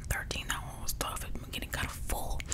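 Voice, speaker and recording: Whispering and soft-spoken, a woman talks at a fairly quick pace. Loud background noise is present. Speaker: content creator. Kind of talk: casual vlog chat. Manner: soft close-mic ASMR whisper, grimacing. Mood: strained, effortful. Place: home room.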